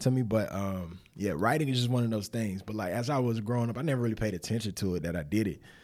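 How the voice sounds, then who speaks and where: On a very clean recording with a silent background, a man with a Southern US accent and a fairly low pitch talks very fast with hardly any pauses and ordinary pitch variation. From Winston-Salem, North Carolina, US South. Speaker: former pro football player, nonprofit director. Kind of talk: casual interview.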